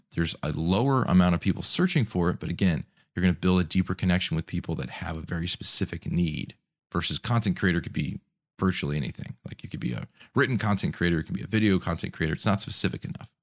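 A man's raspy, very deep, low voice with vocal fry, a very fast pace and ordinary pitch variation, in a very clean recording with a silent background and a dry, close sound without echo. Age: 30s. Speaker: podcast host, content creator. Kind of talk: solo podcast monologue, tutorial.

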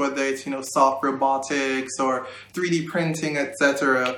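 Amid noticeable background noise and audible room echo, a man talks with fairly even intonation. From Jamaica, Kingston. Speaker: recent college graduate. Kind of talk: interview.

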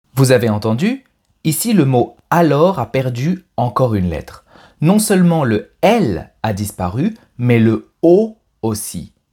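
A man's dark, mellow, somewhat breathy voice at medium pitch, with very wide pitch swings, a very slow pace, and a very clean recording over a silent background. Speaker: French language teacher podcast host. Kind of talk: pronunciation tutorial; scripted narration. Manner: clear, slow-paced delivery for learners.

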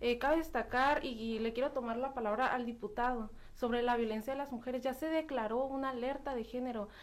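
Hardly pausing, a woman talks at a fairly quick pace in a high pitch with fairly even intonation. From Baja California, Mexico. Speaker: youth parliament member, activist. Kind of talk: radio interview. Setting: radio studio.

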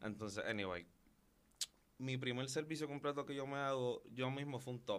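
A man at medium pitch with ordinary pitch variation, a moderate pace and long, frequent pauses. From Puerto Rico, Carolina. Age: young. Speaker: loctician. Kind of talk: interview.

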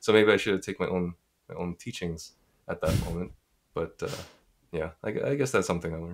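A man with a very deep, low pitch and a Montreal accent talks at a fairly quick pace, with ordinary pitch variation and long, frequent pauses. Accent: Canadian English (Montreal). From Montreal, Quebec, Canada. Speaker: community founder and podcast host. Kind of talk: casual interview answers.

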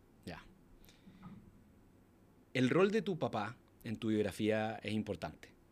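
Lively intonation and big swings in loudness mark this fairly slow delivery, broken by long, frequent pauses. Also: man, medium pitch for a man. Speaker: podcast host. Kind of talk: casual interview. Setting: in-person interview.

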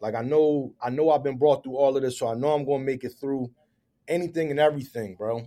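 Pitched fairly high, a man speaks in a dark, mellow tone. His very fast delivery has fairly even intonation. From Philadelphia, uptown. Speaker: real estate educator and developer. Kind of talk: interview. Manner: casual, repetitive fillers.

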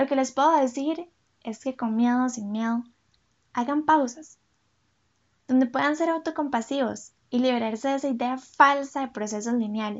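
This woman's voice is high-pitched. She talks at a medium speed with ordinary rises and falls in pitch. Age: 20s. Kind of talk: scripted reflective monologue.

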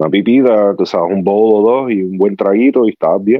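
A man talks at a fairly slow pace. His pitch sits fairly low. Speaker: cigar enthusiast. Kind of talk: casual chat. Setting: video call.

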